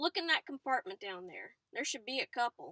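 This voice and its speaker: A woman's put-on character voice, high in pitch, with very wide pitch swings. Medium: read story. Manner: calm, casual.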